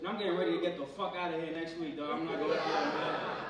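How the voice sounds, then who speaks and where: There's audible room echo and noticeable background noise as a man with an American accent speaks with ordinary pitch variation. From Pennsylvania, US. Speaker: stand-up comedian. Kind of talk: stand-up comedy set, crude and profane, riffing on roaches, gym advice and his girlfriend. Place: stage.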